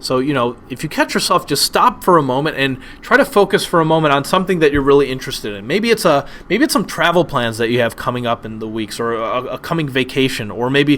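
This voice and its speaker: Speaking very fast with lively intonation, a man with an American accent and a fairly high pitch for a man is heard over noticeable background noise. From United States. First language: Polish. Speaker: online teacher. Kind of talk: webinar lecture. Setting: webinar. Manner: hesitant, many fillers and repetitions.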